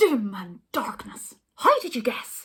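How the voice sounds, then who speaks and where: A woman does a put-on character voice in a raised, projected, shrill tone, sounding furious. Her pitch is high and her pace fairly slow. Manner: shrieking, furious.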